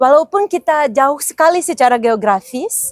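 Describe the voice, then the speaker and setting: A woman at a moderate pace, pitch swinging very widely, music in the background, dry and close with no echo. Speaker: diplomat. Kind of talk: podcast interview. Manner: halting.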